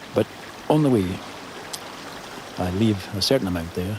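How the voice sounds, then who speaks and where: This man has a very deep, low pitch and a Scottish Highland accent. He talks at a fairly quick pace with lively intonation over noticeable background noise. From Scottish Highlands. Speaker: crofter. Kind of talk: interview answer.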